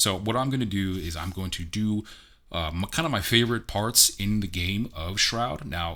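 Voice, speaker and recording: Bright and sharp in tone, a man speaks at a fairly low pitch and a moderate pace, with ordinary pitch variation. The recording is very clean, with a silent background. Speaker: amateur voice actor and game reviewer. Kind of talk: casual game review vlog. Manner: casual, conversational.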